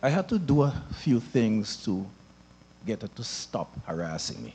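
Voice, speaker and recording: A man's medium-pitched voice, dark and mellow, at a fairly slow pace, with very wide pitch swings and big swings in loudness. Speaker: town hall audience member. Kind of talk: public forum testimony. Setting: church hall town hall meeting.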